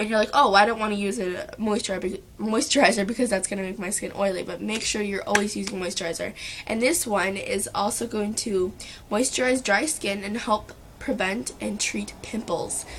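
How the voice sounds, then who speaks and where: Against noticeable background noise, a woman speaks at a moderate pace with a medium pitch and ordinary pitch variation. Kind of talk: makeup tutorial talk to camera.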